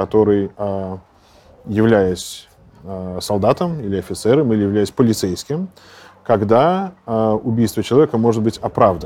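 A man with a medium pitch and a dark, mellow tone speaks at a moderate pace with lively intonation. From Russia, St Petersburg. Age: 40s. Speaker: Orthodox priest. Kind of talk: interview.

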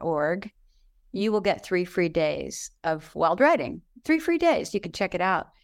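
This woman has a normal speaking voice with a fairly low pitch. Her pace is fairly slow. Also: very clean recording, silent background. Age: 60s. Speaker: writing teacher and author. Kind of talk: casual chat.

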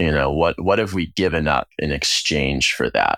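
Vocal fry runs through this man's voice. The recording is very clean, dry and close, with no echo and a silent background. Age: 30s. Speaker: food company co-founder. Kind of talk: interview conversation.

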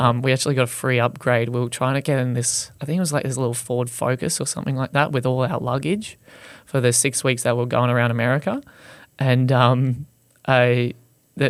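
This man speaks at a medium pitch with a fairly even intonation. He talks with an Australian accent. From Australia, Gold Coast. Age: 20s. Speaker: content creator who wraps his car in Christmas paper. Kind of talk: casual interview.

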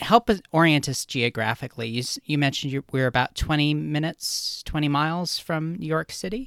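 A man with a plain, everyday voice speaks at a fairly quick pace, his fairly high pitch showing ordinary variation in a dry, close sound with no echo. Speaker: podcast host. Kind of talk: interview.

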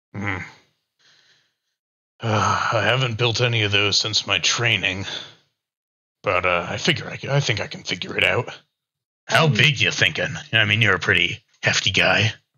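A rumbling man's voice with a fairly low pitch and ordinary pitch variation moves at a fairly slow pace, broken by long, frequent pauses. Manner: grumbling, distracted.

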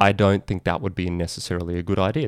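A man with an Australian accent and a very deep, low pitch speaks at a very fast pace, the sound dry and close with no echo in a very clean recording with a silent background. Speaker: podcast host and lawyer marketing expert. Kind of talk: solo video/podcast monologue, informal explainer. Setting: video recording. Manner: casual, conversational.

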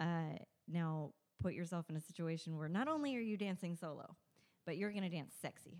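A woman with an American accent, a dark, mellow tone, a fairly low pitch, ordinary pitch variation and a fairly quick pace. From Southern California. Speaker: burlesque performer and show producer. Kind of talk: casual chat.

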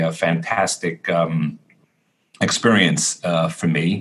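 This is a man's voice. He speaks with an American accent. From Brooklyn, New York. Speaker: cantor. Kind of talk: interview. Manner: halting.

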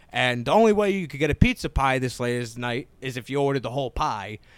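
With an American accent, a man talks very fast at a medium pitch, his pitch varying in an ordinary way. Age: 20s. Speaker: comedian. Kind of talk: casual chat. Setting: podcast studio.

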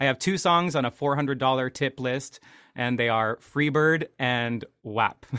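A man with an American accent, medium pitch, ordinary pitch variation, very even loudness and a fairly slow pace. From Washington State, US. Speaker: piano bar entertainer and actor. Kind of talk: casual chat. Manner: halting, many fillers.

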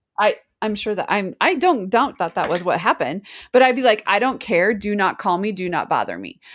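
The speaker has a plain, everyday voice. The intonation is lively and the pace fairly quick. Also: woman, medium pitch for a woman. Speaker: podcast co-host. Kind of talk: casual chat. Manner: laughs often, chatty.

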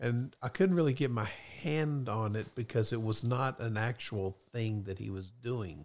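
On a very clean recording with a silent background, a man with an ordinary speaking voice talks at medium pitch and a fairly slow pace with ordinary pitch variation. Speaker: guest, host's father. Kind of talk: casual chat. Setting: studio.

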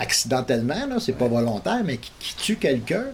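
Very fast talk from a man at medium pitch, very wide pitch swings, noticeable background noise behind him. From Montreal, Quebec. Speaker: local resident. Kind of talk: news interview.

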